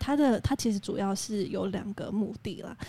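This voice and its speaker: A woman's dark, mellow tone at medium pitch and a moderate pace. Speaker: podcast co-host. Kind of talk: casual chat. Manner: quiet, soft-spoken.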